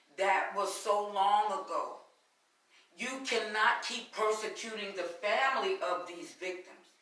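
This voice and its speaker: At a fairly slow pace, a woman with a medium-pitched voice and ordinary pitch variation speaks with big swings in loudness amid audible room echo. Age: 60s. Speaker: prison reform advocate. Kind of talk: interview on a live webcast.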